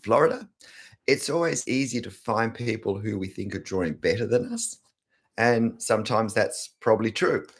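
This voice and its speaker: On a very clean recording with a silent background, a man talks at a moderate pace with an Australian accent. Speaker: art teacher YouTuber. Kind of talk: live stream chat. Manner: casual, chatty.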